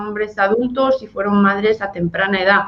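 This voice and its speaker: This woman's fairly high pitch stays fairly even in intonation amid noticeable background noise. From Spain. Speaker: NGO director. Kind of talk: radio interview.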